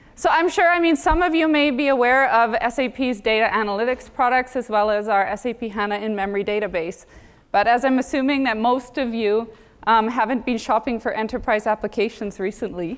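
A fairly quick pace paired with ordinary pitch variation. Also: woman. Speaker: conference keynote speaker. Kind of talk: conference talk. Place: stage.

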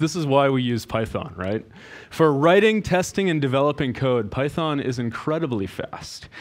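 The man's moderate pace comes through against a quiet background. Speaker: conference presenter. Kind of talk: lecture. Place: hall. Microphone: headset.

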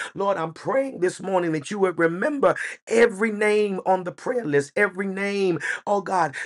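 A man's high-pitched voice with an American accent and lively intonation, set against a quiet background. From United States. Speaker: pastor. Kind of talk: church prayer, spoken aloud to the congregation. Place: home room. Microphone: webcam.

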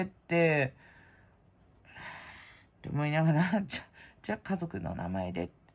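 A woman's very deep, low voice, fairly slow, with very wide pitch swings. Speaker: prize-contest hobbyist vlogger. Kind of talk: casual chat. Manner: rambling, casual. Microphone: phone near.

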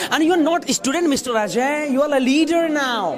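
Over crowd noise in the background, a man with an extremely high pitch for a man speaks at a moderate pace with ordinary pitch variation. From India. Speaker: public speaking coach. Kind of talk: workshop coaching. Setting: auditorium with students. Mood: playful, teasing. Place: classroom. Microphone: lapel.

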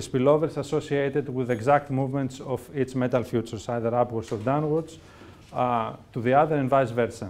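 A man talks fairly quickly, his pitch moving in an ordinary way. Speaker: presenter. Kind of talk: lecture. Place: classroom.

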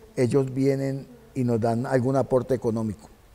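The speaker is a man. He keeps a moderate pace. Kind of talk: interview answer. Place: stage. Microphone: lapel.

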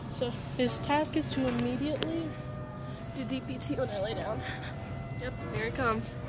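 A woman speaks at a moderate pace. Clear music plays in the background, and the sound is dry with no echo. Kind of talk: casual vlog chat and dog commands. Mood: warm, praising, laughing. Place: shop.

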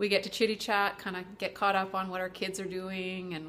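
A woman talks at a fairly quick pace. Her tone is bright and sharp. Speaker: vlogger. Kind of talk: casual vlog chat. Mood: warm, cheerful. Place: home room. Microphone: webcam.

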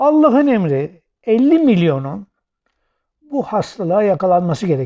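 Speaking at a very slow pace, a man uses a high pitch. His pitch swings very widely. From Aegean Turkey (Soma, Manisa). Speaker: political commentator. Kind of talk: video monologue.

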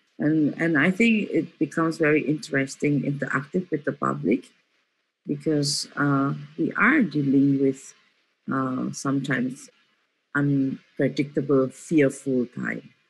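Vocal fry alongside ordinary pitch variation. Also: woman, very deep, low pitch for a woman. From Indonesia (Solo); Indonesia. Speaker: performance artist; guest. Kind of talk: artist talk. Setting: video call. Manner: slow, halting. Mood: reflective, earnest. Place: home room. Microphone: video call.

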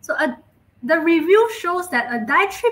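Her tone is bright and sharp, with very wide pitch swings. The woman keeps a moderate pace. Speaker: presenter. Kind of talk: lecture. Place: home room.

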